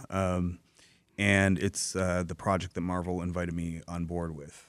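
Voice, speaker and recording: The recording is very clean with a silent background. The pace is fairly slow. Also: man. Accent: Michigan. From Dearborn, Michigan, US. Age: 40s. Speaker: comic book writer and novelist. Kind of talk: radio interview. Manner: halting, many fillers and repeats.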